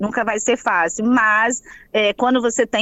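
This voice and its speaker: Using a normal speaking voice, a woman talks at a fairly slow pace with a fairly high pitch and fairly even intonation. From Espírito Santo, Brazil (Baixo Guandu, later Vitória). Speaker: psychologist. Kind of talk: interview.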